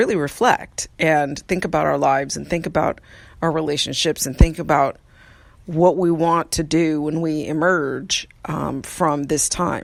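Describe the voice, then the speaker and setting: The voice carries vocal fry and ordinary pitch variation. Its pace is moderate. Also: woman. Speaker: podcast host. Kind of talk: casual monologue. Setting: outdoors on porch. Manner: soft-spoken.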